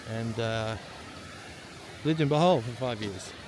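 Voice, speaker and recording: A man talks in an Australian accent with ordinary pitch variation. Noticeable background noise runs underneath. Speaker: travel vlogger. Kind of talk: casual vlog narration. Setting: outdoors. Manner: casual, hesitant with fillers.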